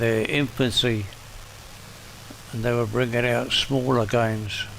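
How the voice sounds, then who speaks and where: Over noticeable background noise and audible room echo, a man with a medium pitch speaks at a fairly slow pace in a monotone, flat intonation. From northern England. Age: 80s+. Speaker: gaming streamer. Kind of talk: gameplay commentary. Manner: casual, self-talking.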